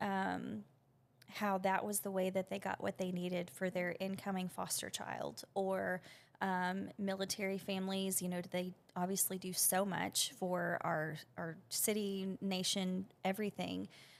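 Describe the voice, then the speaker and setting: A woman at a moderate pace with a Southern US accent, on a very clean recording with a silent background. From Arkansas. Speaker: business owner. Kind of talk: interview. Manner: casual, with many fillers.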